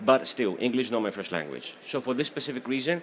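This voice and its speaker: Medium in pitch, a man speaks with a Greek accent. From Greece. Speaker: certification exam program presenter. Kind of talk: technical presentation. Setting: stage with audience. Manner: animated.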